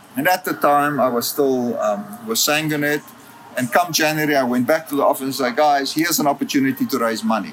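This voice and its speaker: The speaker talks at a fairly quick pace with ordinary pitch variation. Noticeable background noise is present. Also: man, fairly high pitch for a man. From South Africa, Western Cape (Worcester). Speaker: philanthropy and development professional, ultramarathon runner. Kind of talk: interview. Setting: in person, Johannesburg.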